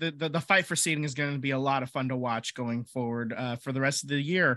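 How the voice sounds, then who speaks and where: Recorded very cleanly over a silent background, a man speaks in a fairly high voice with a bright, sharp tone. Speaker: sports podcast host. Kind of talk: casual chat. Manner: joking.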